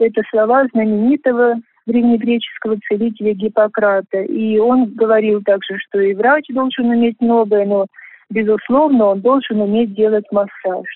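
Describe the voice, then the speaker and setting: A woman talks at a moderate pace with fairly even intonation and a fairly high pitch. Hers is a plain, everyday voice, and her loudness stays very even. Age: 60s. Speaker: volunteer health gymnastics instructor. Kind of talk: prepared radio monologue.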